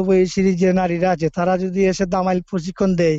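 The voice belongs to a man with a high pitch. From Bangladesh, Sylhet (Moulvibazar, Sreemangal). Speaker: folk music collector and academy founder. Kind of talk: interview. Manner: halting.

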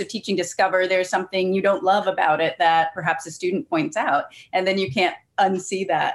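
A woman speaks at a fairly quick pace with a medium pitch. It is a normal speaking voice. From Cincinnati, Ohio. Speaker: writer and creative writing professor. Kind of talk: casual chat. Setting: video call.

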